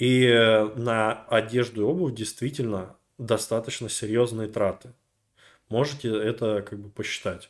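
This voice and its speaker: Speaking at a fairly slow pace with long, frequent pauses, a man with a medium pitch swings widely in loudness on a very clean recording with a silent background. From Russia, rural. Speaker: video blogger. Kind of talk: casual monologue. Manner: animated.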